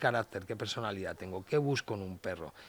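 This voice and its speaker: On a very clean recording with a silent background, a man with a plain, everyday voice speaks at a fairly low pitch and a fairly quick pace. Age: 50s. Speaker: dog behavior expert and trainer. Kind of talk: casual interview.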